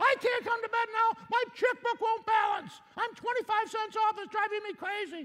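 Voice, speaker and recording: A man's put-on character voice at an extremely high pitch. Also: moderate pace. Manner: fretful, distracted.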